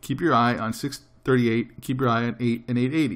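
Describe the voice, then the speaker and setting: This man has a medium pitch and fairly even intonation. He speaks at a fairly quick pace. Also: very clean recording, silent background. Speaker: day trading educator. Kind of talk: tutorial. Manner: fast.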